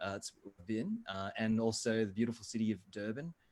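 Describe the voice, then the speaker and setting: The pitch moves in an ordinary way, in an Australian accent. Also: man. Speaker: video marketing expert. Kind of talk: webinar talk. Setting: video call.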